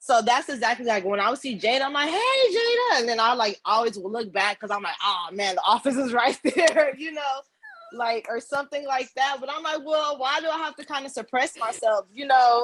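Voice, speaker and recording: A woman talks loudly at a high pitch and a fairly quick pace, her tone animated. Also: ordinary pitch variation. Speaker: campus service worker. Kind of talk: panel discussion.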